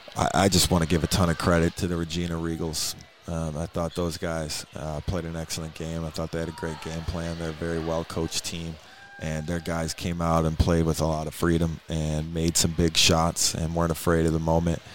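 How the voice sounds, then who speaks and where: Noticeable background noise sits under a man with a very deep, low pitch. He speaks in a monotone, flat intonation at a moderate pace. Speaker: basketball coach. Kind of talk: post-game radio interview. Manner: reflective, hesitant, subdued after loss.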